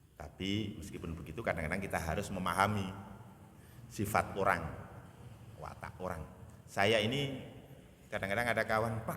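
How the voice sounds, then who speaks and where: A man talks at a fairly quick pace. Some room echo can be heard. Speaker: Islamic preacher. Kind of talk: sermon. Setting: mosque.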